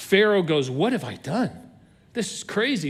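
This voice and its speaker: The man speaks with a high pitch. Audible room echo surrounds his voice. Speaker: pastor. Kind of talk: sermon. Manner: fast.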